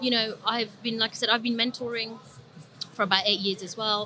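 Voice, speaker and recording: Noticeable background noise accompanies a woman speaking at a fairly high pitch with fairly even intonation. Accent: London. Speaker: trader and trading psychology coach. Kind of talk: podcast interview. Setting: recorded at a trading summit.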